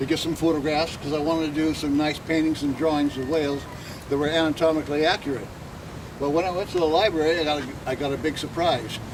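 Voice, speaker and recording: Through noticeable background noise, a man with a fairly high voice talks at a very fast pace. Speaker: artist. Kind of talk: talk to audience. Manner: loud; halting.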